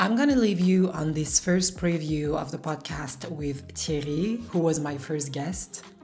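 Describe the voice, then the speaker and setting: A woman with a very deep, low voice talks at a moderate pace while music plays in the background. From France. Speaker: entrepreneur and vlogger. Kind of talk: vlog monologue.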